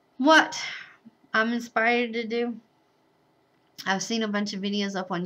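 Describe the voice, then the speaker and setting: In an American accent, a woman speaks at a moderate pace with a bright, sharp tone. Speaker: vlogger, bride-to-be. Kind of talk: casual vlog monologue.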